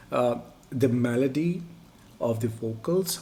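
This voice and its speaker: With audible room echo, a man's somewhat breathy voice carries a dark, mellow tone at a medium pitch and a very slow pace. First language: Urdu. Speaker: music reaction youtuber. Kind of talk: casual chat. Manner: halting.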